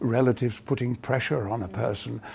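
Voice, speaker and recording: Using vocal fry, a man speaks at medium pitch with a dark, mellow tone. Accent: English. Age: 70s. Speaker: actor. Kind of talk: interview answer.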